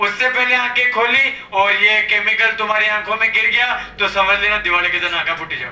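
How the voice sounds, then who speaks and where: A man's high-pitched voice at a fairly slow pace, with audible room echo. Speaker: show host. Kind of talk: comic show hosting to audience. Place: street.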